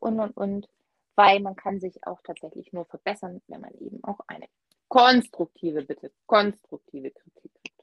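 A woman speaks in a plain, everyday voice at medium pitch and a moderate pace. Her intonation is lively, her loudness swings widely, and the sound is dry and close with no echo. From Swabia, Germany. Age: 30s. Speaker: knitter, guest co-host. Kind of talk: casual chat.

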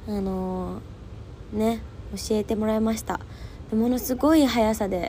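The speaker is a woman. She sounds animated. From Japan, Fukuoka (Hakata). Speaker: podcast host. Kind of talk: casual solo chat.

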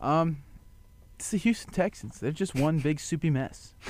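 On a very clean recording with a silent background, a man with a Kansas accent talks at a fairly quick pace. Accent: rural Kansas. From western Kansas, Goodland/Colby. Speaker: sports show guest. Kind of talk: casual sports talk.

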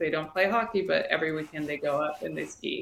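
A woman talks in a fairly low pitch with a Canadian accent. There is noticeable background noise. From Toronto, Canada (born in Sri Lanka, moved at four). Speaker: real estate agent. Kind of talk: casual interview.

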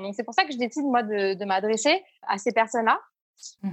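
With lively intonation, a woman keeps her delivery at a moderate pace. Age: 30s. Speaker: entrepreneur, founder of a support network. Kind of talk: casual interview.

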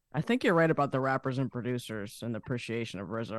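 A man at medium pitch speaks with ordinary pitch variation in a dry, close sound with no echo. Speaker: podcast co-host. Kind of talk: interview.

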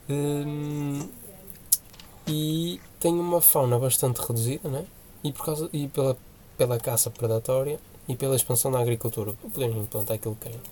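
A man with a medium pitch talks at a moderate pace with ordinary pitch variation, leaving long, frequent pauses over noticeable background noise. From Portugal, Porto area (Senhora da Hora). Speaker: podcast co-host. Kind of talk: casual chat.

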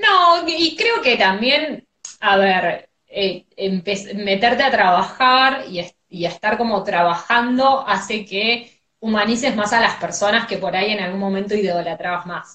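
A woman's fairly high, bright and sharp voice, lively in intonation, at a fairly slow pace. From Argentina, outside Buenos Aires. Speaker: radio host. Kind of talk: casual chat. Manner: energetic, cheerful.

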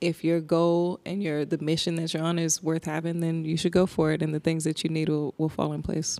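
A woman with an American accent speaks at a fairly quick pace in a fairly low, dark, mellow voice with monotone, flat intonation. The recording is very clean, with a silent background. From New Jersey, military brat (various places). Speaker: charity co-founder and personal trainer. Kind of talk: casual chat. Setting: recorded on a trip in Togo.

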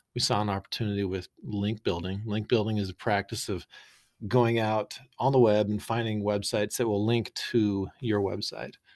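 An ordinary speaking voice moves at a moderate pace with fairly even intonation, in a dry, close sound with no echo. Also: man, fairly low pitch for a man. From Boise, Idaho, US. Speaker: business co-founder. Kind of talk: casual interview.

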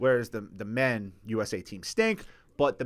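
An animated man with very wide pitch swings, on a very clean recording with a silent background. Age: 40s. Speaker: podcast co-host. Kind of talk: casual chat.

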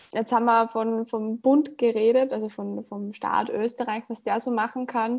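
The recording is very clean, with a silent background. A woman talks at a fairly slow pace, her fairly high voice monotone and flat. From Upper Austria, rural. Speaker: podcast host. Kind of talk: interview.

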